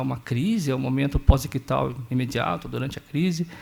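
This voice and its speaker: A man with a São Paulo interior accent, very fast pace and lively intonation. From Brazil, interior of São Paulo state (Sorocaba). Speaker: doctoral researcher in epilepsy. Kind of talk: conference talk.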